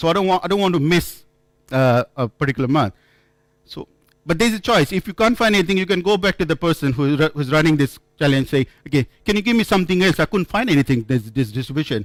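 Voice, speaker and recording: With an Indian accent, a man talks at a very fast pace in a fairly high pitch, with lively intonation and a dry, close sound with no echo. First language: not English, Indian language. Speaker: software developer, conference speaker. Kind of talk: conference talk. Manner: halting, with repetitions.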